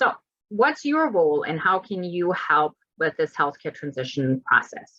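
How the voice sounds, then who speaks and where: A woman speaks loudly at a fairly low pitch and a fairly slow pace, her tone bright and sharp. Her pitch swings very widely, and the sound is dry and close with no echo. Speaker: lecturer on healthcare transition. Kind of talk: lecture. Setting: video call.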